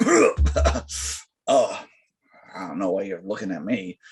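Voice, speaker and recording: Putting on a character voice, a man drops to a very deep, low pitch. His delivery is fairly slow. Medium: actual play.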